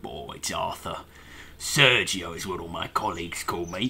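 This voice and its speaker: A put-on character voice at a moderate pace over light background noise. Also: man, very deep, low pitch for a man. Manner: rambling.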